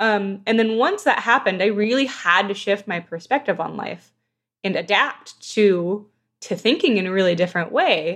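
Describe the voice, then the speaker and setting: With an American accent, a woman speaks in an unremarkable speaking voice at a medium pitch and moderate pace, with ordinary pitch variation over a quiet background. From Southern California. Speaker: video game narrative director. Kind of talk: casual interview.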